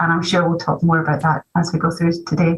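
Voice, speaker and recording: The speaker is a woman with a Scottish accent. Noticeable background noise runs under her voice. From Scotland. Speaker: economist panelist. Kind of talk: panel discussion. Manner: halting, many fillers.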